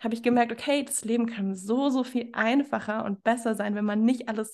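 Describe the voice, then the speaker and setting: A woman's fairly high, unremarkable speaking voice against a quiet background. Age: 20s. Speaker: fitness coach. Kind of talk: interview.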